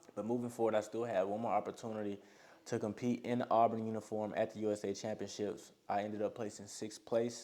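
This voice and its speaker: In a monotone, flat intonation, a man rattles along at a very fast pace, his fairly low pitch giving a dark, mellow tone. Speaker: college high jumper and vlogger. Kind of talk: casual vlog recap.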